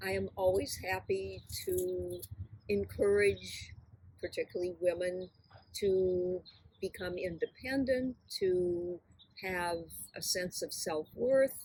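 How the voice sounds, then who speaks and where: Very slow woman's speech in a Midwestern US accent, broken by long, frequent pauses. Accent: US Midwest. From US Midwest, Kenosha Wisconsin. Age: 80s+. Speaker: interviewee. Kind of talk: interview.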